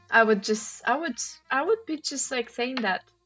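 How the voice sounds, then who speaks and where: With music playing in the background, a woman speaks at a high pitch. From former Soviet Union. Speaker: crossword streamer. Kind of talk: live-stream commentary while solving. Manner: casual, hesitant with fillers.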